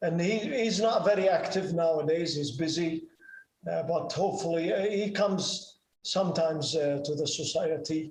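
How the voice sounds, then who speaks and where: A man speaks at a moderate pace with a high pitch for a man, ordinary pitch variation, and audible room echo. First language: Arabic. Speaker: ham radio operator and pilot. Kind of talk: presentation and Q&A. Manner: halting, many fillers.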